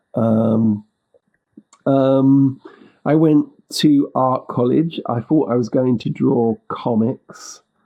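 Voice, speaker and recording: In a London accent, a man talks at a very slow pace with fairly even intonation and long, frequent pauses. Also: medium pitch for a man. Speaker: indie musician. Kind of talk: interview conversation.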